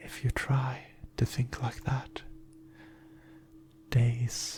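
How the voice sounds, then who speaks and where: A man whispers at a very slow pace in a gentle tone. Noticeable background noise sits behind him. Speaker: ASMR performer. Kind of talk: positive affirmations. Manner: soft-spoken, gentle, reassuring.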